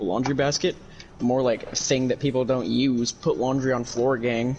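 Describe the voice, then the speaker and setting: With music in the background, a man speaks at a moderate pace and medium pitch, keeping fairly even intonation and very even loudness. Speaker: gaming streamer. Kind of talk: casual chat.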